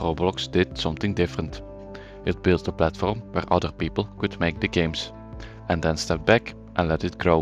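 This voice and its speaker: A man speaks at a moderate pace in a very deep, low voice with lively intonation, with music playing in the background. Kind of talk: documentary narration.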